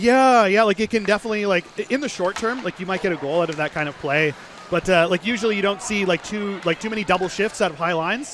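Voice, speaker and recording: A man with a high pitch, ordinary pitch variation and an animated tone, talking at a very fast pace in a Canadian accent over noticeable background noise. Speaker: ice hockey color commentator. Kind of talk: live commentary.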